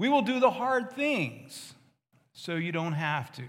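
At a very slow pace, a man speaks with very wide pitch swings. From West Virginia. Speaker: army chaplain. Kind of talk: sermon. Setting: church.

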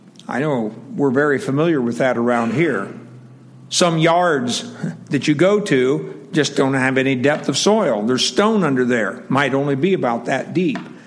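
Noticeable background noise accompanies a man whose fairly high voice has lively intonation at a moderate pace. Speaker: preacher. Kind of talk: sermon. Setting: church. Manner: loud; casual, chatty.

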